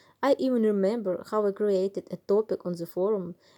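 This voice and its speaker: Recorded dry and close with no echo, the speaker has a Ukrainian accent, a dark, mellow tone, ordinary pitch variation and a moderate pace. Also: woman. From Ukraine, Kyiv. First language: Ukrainian or Russian. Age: 30s. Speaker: cosplayer. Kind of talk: scripted narration.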